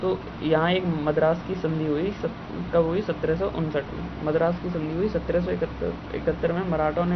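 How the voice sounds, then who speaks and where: Over noticeable background noise, a man talks at a high pitch with monotone, flat intonation. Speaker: student preparing for competitive exams. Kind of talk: history revision lecture.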